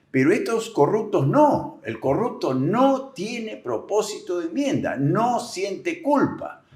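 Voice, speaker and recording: This man talks very slowly with hardly any pauses, his high voice swinging very widely in pitch over noticeable background noise. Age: 70s. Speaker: agricultural businessman and political commentator. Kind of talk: interview.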